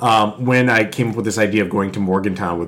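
Man with an American accent, fairly quick, with ordinary pitch variation, audible room echo and noticeable background noise. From Connecticut, US. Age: 30s. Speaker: writer and podcast guest. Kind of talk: casual chat.

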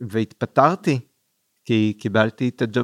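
The recording is dry and close, with no echo. A man with a fairly low pitch speaks at a fairly slow pace. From Israel, Kfar Saba. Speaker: film festival director. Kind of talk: casual interview.

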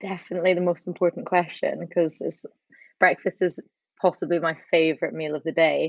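Recorded dry and close with no echo, a woman speaks at a medium pitch in an Edinburgh accent. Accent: Scottish (Edinburgh). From Scotland, Edinburgh. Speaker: TV producer and charity founder. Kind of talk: interview.

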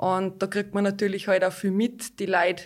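A woman at a moderate pace and medium pitch, with an ordinary speaking voice. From Austria, Hallein (Salzburg). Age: 30s. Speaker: local politician. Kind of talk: interview.

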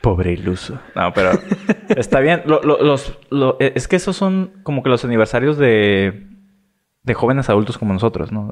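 Moderate pace and lively intonation in a plain, everyday voice. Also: man. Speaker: podcast co-host. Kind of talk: casual chat.

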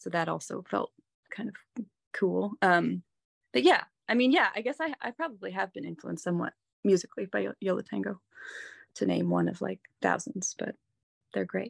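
Someone with an American accent speaks at a moderate pace with long, frequent pauses, in a very clean recording with a silent background. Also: woman, dry, close sound with no echo. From US, mainly New York State and Massachusetts. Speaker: singer-songwriter. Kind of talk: casual chat.

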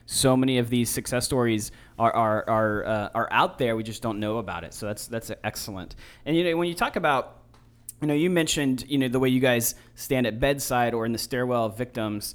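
This man has a plain, everyday voice and talks at a fairly quick pace with ordinary pitch variation. The recording is very clean, with a silent background. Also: medium pitch for a man. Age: 30s. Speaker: podcast host. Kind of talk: interview.

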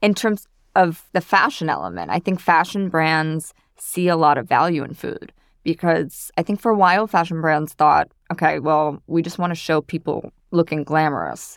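A woman with an American accent and an unremarkable speaking voice, at a moderate pace with ordinary pitch variation, in a dry, close sound with no echo and a very clean recording with a silent background. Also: fairly low pitch for a woman. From New York City. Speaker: food stylist. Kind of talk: interview.

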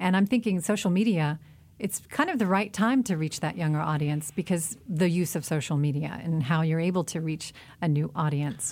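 An ordinary speaking voice at a moderate pace with ordinary pitch variation. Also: woman, fairly low pitch for a woman. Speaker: radio host. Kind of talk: radio interview.

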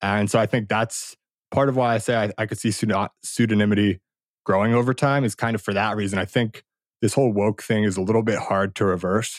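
Fairly low male voice at a fairly quick pace, fairly even intonation, dry close sound with no echo, very clean recording and silent background. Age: 20s. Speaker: anonymous blogger and former investment banker. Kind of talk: casual interview conversation. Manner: halting, many repeated words and fillers.

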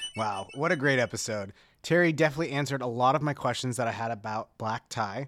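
Words pour out at a very fast pace. The background is silent, and the recording very clean. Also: man, medium pitch for a man, ordinary pitch variation. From Dallas, Texas. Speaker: podcast co-host. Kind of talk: casual chat.

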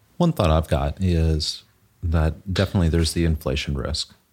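A man with a very deep, low pitch and an American accent, somewhat breathy, fairly quick, with fairly even intonation. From US South, Texas and Southeast. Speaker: financial advisor. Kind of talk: casual chat.

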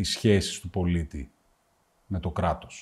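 The man's voice is somewhat breathy. His tone comes across dark and mellow. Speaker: podcast host, business owner. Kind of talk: interview.

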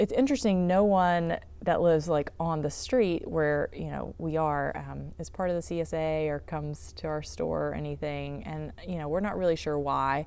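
With an American accent, a woman talks at a moderate pace and hardly pauses. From southeastern North Carolina (sand hills). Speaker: urban farm manager and nonprofit director. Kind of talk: casual interview. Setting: greenhouse.

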